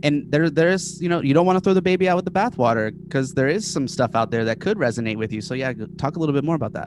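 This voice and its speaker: A man with a fairly high pitch talks at a very fast pace with hardly any pauses and lively intonation over noticeable background noise. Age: 30s. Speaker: social media meme page creator. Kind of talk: casual chat.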